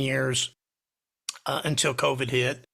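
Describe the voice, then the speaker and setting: The voice has a bright, sharp tone with vocal fry. It moves at a fairly slow pace with monotone, flat intonation. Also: man. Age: 60s. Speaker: music producer. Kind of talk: casual self-introduction in online meeting. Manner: hesitant, many fillers.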